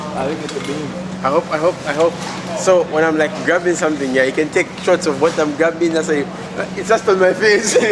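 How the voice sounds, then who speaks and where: Over noticeable background noise, a man with a non-native accent speaks fairly quickly in a fairly high voice with fairly even intonation. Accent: noticeable non-native pronunciation. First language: not English. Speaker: vlogger. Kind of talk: casual vlog chat. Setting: outdoors at a track, then a store.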